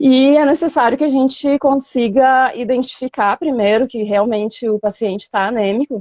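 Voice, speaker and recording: Against a quiet background, a woman with a southern Brazilian accent speaks at a high pitch. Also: ordinary pitch variation, moderate pace, hardly any pauses, dry, close sound with no echo. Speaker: veterinary professor. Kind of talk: online lecture. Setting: live stream video call.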